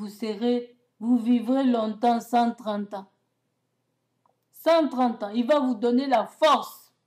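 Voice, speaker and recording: The speech comes at a very slow pace, broken by long, frequent pauses, with fairly even intonation. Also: woman, high pitch for a woman. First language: not French (speaking French). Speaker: self-proclaimed prophetess. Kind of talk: prophetic religious message to camera. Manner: halting, with repetitions and self-corrections.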